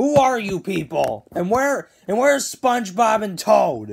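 Using a put-on character voice, a woman speaks at a fairly slow pace with a medium pitch, big pitch swings, a slightly mellow tone, a slightly husky edge and vocal fry.

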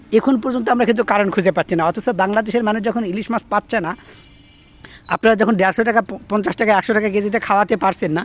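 The voice is a man's, high in pitch. The sound is dry and close with no echo, though noticeable background noise comes through. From Bangladesh. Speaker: political commentator. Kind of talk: political rant. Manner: animated.

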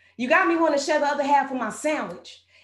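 Pitched high, a woman speaks in an American accent with audible room echo. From Texas. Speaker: spoken word poet. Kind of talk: spoken word poetry performance. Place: studio.

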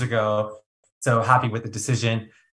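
With an American accent, a man of medium pitch delivers his words at a fairly quick pace in a monotone, flat intonation. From California, Santa Monica. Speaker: customer success director. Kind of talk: interview.

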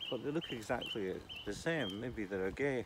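Amid loud background noise, a man speaks at a moderate pace with lively intonation, the sound dry with no echo. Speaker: vlogger. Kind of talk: casual chat. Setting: outdoors. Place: open country. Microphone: phone near.

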